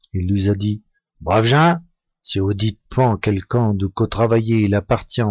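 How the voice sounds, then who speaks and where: Very slowly and at a fairly low pitch, a man speaks with a northern French accent in a dry, close recording with no echo, very clean against a silent background. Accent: northern French Picard (Ch'ti) dialect. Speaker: storyteller. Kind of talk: folk tale telling in local dialect.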